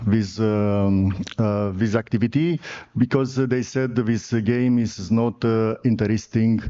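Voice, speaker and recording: Speaking at a fairly slow pace, a man with a Romanian accent keeps his intonation fairly even. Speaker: sports federation president. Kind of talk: conference presentation. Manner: halting.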